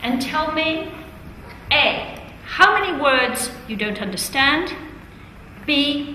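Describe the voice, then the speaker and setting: A woman speaks in a raised, projected voice with a high pitch and very wide pitch swings. Audible room echo and noticeable background noise come through. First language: Italian. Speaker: teacher trainer. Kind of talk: classroom teaching.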